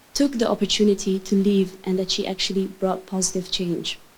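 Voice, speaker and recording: A somewhat breathy woman's voice. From Netherlands. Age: 20s. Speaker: youth advocate. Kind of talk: conference talk. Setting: stage with audience.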